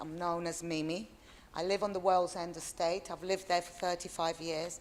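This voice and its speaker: Her voice sits fairly low in pitch, moving at a moderate pace with a flat, monotone intonation. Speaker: community representative. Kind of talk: public address.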